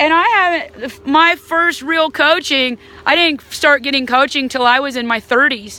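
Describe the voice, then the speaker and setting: A woman's high, raised and projected voice in an American accent, animated in tone, fairly slow, with ordinary pitch variation and noticeable background noise. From Alabama, Huntsville. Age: 40s. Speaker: whitewater canoe athlete. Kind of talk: casual talk to camera. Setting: outdoors by a river.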